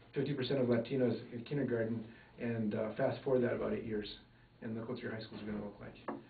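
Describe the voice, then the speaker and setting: Over noticeable background noise and audible room echo, a man with an American accent speaks at a very fast pace with fairly even intonation. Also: medium pitch for a man. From New Mexico and rural Minnesota. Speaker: interviewee, former missionary. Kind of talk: interview. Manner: hesitant, many fillers.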